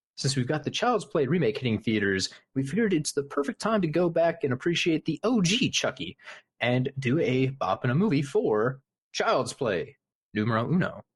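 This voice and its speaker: A man with a fairly high, somewhat breathy voice keeps his loudness very even at a moderate pace. His pitch swings very widely, and the sound is dry and close with no echo. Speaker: podcast host. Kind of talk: casual podcast talk.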